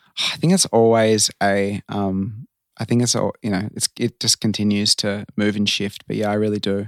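A man with an Australian accent at a fairly low pitch, fairly even intonation and a moderate pace, dry and close with no echo, on a very clean recording with a silent background. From Australia, Sydney. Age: 30s. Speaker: transformational coach. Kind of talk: casual chat.

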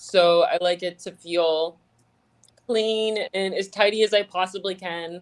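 In a very clean recording with a silent background, a woman speaks at a medium pitch with ordinary pitch variation, in an ordinary speaking voice. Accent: American. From South Florida (Fort Lauderdale). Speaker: singer in a band. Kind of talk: interview.

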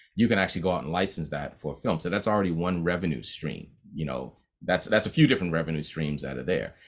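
A man with an American accent talks at a very fast pace in a very deep, low pitch with vocal fry and ordinary pitch variation. The recording is very clean, with a silent background. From Boston (Roxbury). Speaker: music composer and producer. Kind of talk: interview. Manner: casual, animated.

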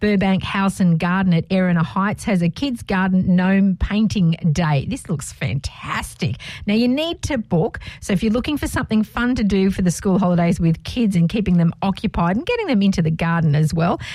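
An unremarkable speaking voice with lively intonation, very even loudness and hardly any pauses. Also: woman, medium pitch for a woman. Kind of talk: radio dj patter. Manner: upbeat, cheerful, bantering; quick, friendly, teasing co-host.

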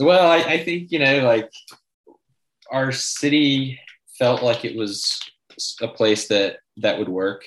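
A man at medium pitch with an American accent, lively intonation, a very slow pace and long, frequent pauses. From north Georgia, US. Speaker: sports team co-owner, former journalist. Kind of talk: interview.

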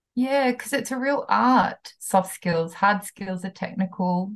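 Her pace is fairly slow, with ordinary pitch variation. The woman's voice is somewhat breathy. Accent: New Zealand. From New Zealand, country town. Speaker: HR consultant. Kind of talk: interview.

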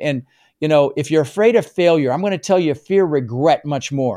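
This man's dark, mellow tone sits at a fairly high pitch, with lively intonation and a moderate pace. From immigrant to the US, non-English-speaking country. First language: not English. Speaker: real estate investor and coach. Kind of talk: interview. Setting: video call. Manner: animated.

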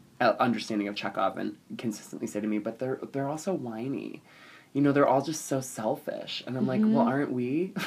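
A man with a plain, everyday voice and an American accent speaks at medium pitch with ordinary pitch variation. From South Jersey, US (Atlantic City). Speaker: theater performer. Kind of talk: casual interview.

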